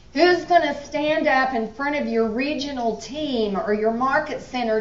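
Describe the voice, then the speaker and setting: In a room with audible echo, a woman speaks at a high pitch with lively intonation. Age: 70s. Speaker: business executive. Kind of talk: motivational speech. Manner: animated.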